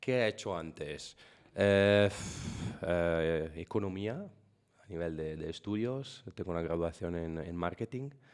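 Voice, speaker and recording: Very deep and low, a man's voice moves at a very slow pace with ordinary pitch variation in an Italian accent. The recording is very clean with a silent background. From Italy. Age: 40s. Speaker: software partnership manager. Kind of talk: podcast interview. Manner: halting.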